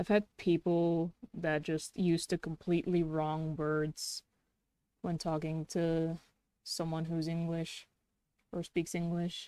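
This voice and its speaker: A woman with a slight Dutch accent speaks at fairly low pitch in a dark, mellow tone with monotone, flat intonation. Her very slow delivery has long, frequent pauses, in a dry, close sound with no echo. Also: very clean recording, silent background. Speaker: streamer and artist. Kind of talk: casual chat while drawing on livestream.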